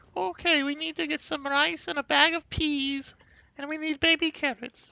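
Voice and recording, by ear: A man's put-on character voice at an extremely high pitch, delivered at a moderate pace.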